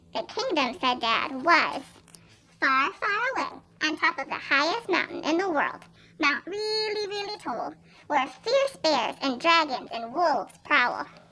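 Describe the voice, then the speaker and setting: A woman's squeaky, high, put-on character voice, at a fairly slow pace, with very wide pitch swings. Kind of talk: bedtime story. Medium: read story. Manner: warm, gentle.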